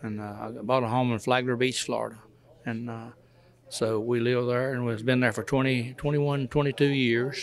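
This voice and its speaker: A man with a North Carolina accent speaks at a moderate pace. His pitch is medium and his intonation monotone and flat. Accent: Southern US, North Carolina. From North Carolina, near Hickory. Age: 80s+. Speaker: retired truck driver. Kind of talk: interview. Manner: halting, repetitive.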